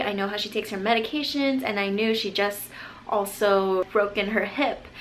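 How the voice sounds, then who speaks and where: Her fairly high voice moves at a fairly quick pace with fairly even intonation. The woman is heard over noticeable background noise, with audible room echo. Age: young. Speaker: nurse. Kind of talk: vlog monologue.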